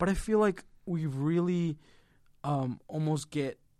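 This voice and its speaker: Speaking at a very slow pace, a man talks with a Spanish accent. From Mexico. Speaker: podcast co-host, college student. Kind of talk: casual chat.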